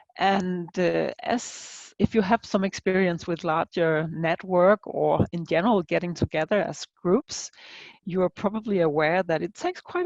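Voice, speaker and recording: A woman of medium pitch speaks at a moderate pace with fairly even intonation, the sound dry and close with no echo. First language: not English. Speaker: aphasia researcher. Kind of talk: conference presentation. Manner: halting, many fillers.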